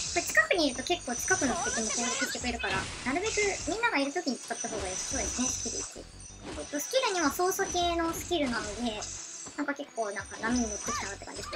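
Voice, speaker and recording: A woman with a high pitch speaks at a very fast pace in a raised, projected voice, with very wide pitch swings. Music plays in the background. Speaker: game streamer. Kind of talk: casual gameplay commentary.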